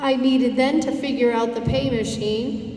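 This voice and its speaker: A woman's high voice with an American accent, fairly slow and fairly even in intonation, with audible room echo and noticeable background noise. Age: 60s. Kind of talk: presentation to community group. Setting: dinner event with audience.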